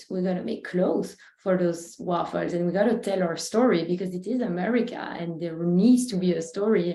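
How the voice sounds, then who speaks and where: With a Belgian accent, a woman talks at a fairly quick pace in a medium pitch. Her tone is dark and mellow, with ordinary pitch variation. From Belgium. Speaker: food company CEO. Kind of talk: panel discussion.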